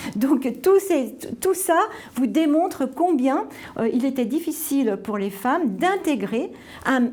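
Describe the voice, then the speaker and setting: A woman speaks very slowly in a high voice, her pitch swinging very widely. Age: 60s. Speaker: sports official and former cyclist. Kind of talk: interview testimony. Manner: halting, many fillers.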